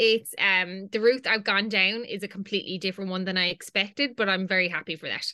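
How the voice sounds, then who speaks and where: Speech in a Limerick accent races at a very fast pace with fairly even intonation. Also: woman, medium pitch for a woman. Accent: Irish (Limerick). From Ireland, County Limerick. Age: 20s. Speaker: fashion content creator. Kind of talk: casual chat.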